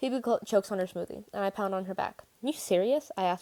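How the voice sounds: The voice is a natural reading voice. It is used throughout the clip.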